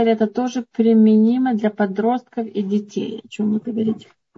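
A woman speaks at a fairly quick pace in an ordinary speaking voice. Her pitch sits fairly high. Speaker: moderator relaying questions. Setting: online video session.

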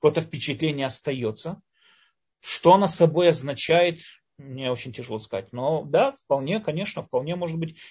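Somewhat breathy and fairly high in pitch, a man talks at a moderate pace with ordinary pitch variation. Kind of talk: lecture.

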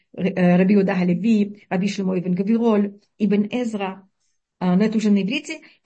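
The woman's voice is somewhat breathy, at a medium pitch. Her intonation stays fairly even. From Uzbekistan. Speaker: Torah teacher giving a weekly lesson. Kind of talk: lecture. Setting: online call with audio problems.

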